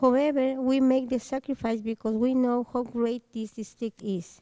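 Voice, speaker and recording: A woman with a Spanish accent speaks fairly slowly at a fairly high pitch, her tone dark and mellow and her intonation fairly even, in a dry, close sound with no echo. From Mexico. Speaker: parent speaking at public comment. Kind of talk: public comment, reading prepared letter. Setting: school board meeting.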